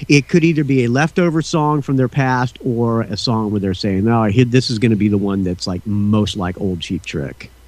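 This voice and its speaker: Moving at a moderate pace with hardly any pauses, a man uses an ordinary speaking voice at medium pitch with lively intonation. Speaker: podcast host. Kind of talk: casual chat.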